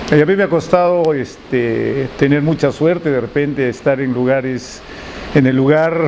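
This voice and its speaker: A man's fairly high-pitched voice at a moderate pace, fairly even intonation, and noticeable background noise. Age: 60s. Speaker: architect and sculptor. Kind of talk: interview. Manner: halting.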